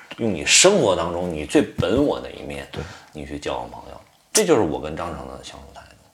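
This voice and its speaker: Speaking at a fairly quick pace, a man swings widely in loudness amid audible room echo. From Tianjin, China. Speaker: actor. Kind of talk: casual chat over drinks.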